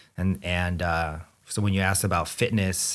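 The recording is very clean, with a silent background. A man speaks in a plain, everyday voice at a fairly slow pace. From Southern California (Anaheim), born in the Philippines. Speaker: gym owner and breast cancer co-survivor. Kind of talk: casual interview.

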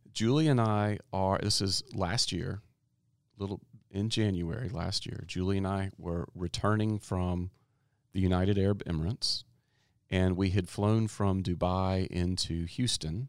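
In a very clean recording with a silent background, a man with a plain, everyday voice speaks fairly slowly at a fairly low pitch with fairly even intonation. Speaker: education podcast host. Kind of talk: interview. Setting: studio.

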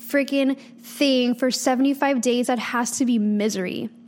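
A woman's high-pitched, animated voice at a fairly slow pace over noticeable background noise. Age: 20s. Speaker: podcast host and fitness coach. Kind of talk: casual monologue.

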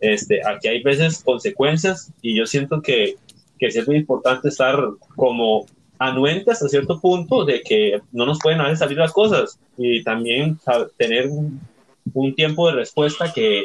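A man speaks at a moderate pace in an ordinary speaking voice, his pitch fairly high for a man with ordinary pitch variation. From Costa Rica. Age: 20s. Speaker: youth group member. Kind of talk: casual chat.

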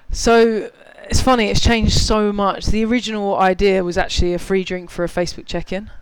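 Noticeable background noise sits behind a man with a British accent and a high pitch. He talks at a fairly quick pace with fairly even intonation. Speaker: app co-founder. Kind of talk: casual interview. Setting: live recording with audience.

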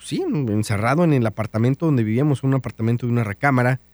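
A man with a normal speaking voice and medium pitch uses lively intonation, recorded very cleanly against a silent background with a dry, close sound with no echo. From Mexico, Guanajuato. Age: 30s. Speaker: radio DJ and podcaster. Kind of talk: casual monologue.

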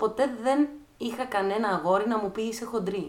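This woman's voice sits at a fairly high pitch with ordinary pitch variation. She speaks at a moderate pace. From Greece, Thessaloniki. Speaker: dancer and choreographer. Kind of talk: casual chat.

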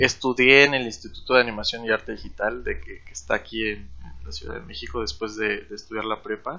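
This man talks at a fairly quick pace. His loudness swings in big ways. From Mexico, Chetumal, Quintana Roo. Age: 20s. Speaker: 3D environment artist. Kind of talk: casual interview.

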